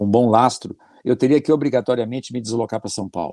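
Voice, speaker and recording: Dark and mellow in tone, a man talks at a fairly quick pace with ordinary pitch variation, recorded with a dry, close sound and no echo. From southern Brazil, Porto Alegre. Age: 60s. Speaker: business administrator, immigrant. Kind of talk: podcast interview.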